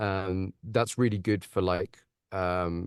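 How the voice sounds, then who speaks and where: With an Estuary accent, the voice comes through dry and close with no echo against a quiet background. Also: man. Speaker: audiobook narrator. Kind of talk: webinar discussion. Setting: video call.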